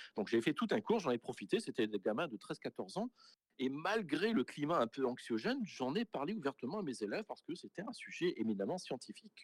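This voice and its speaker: This man talks at a fairly quick pace, his fairly high pitch swinging very widely, with vocal fry. The recording is dry and close, without echo. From Saint-Pierre and Miquelon. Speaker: school principal. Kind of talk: interview.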